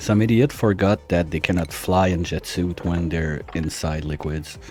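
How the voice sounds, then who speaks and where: A man's very deep, low pitch with ordinary variation at a moderate pace, amid noticeable background noise. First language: French. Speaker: gaming streamer. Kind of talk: live gameplay stream chat. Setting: live stream. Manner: casual, conversational.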